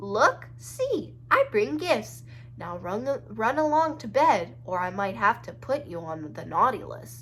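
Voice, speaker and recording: A woman's put-on character voice against clear background noise. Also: fairly slow pace. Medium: read story. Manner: nervous, trembling.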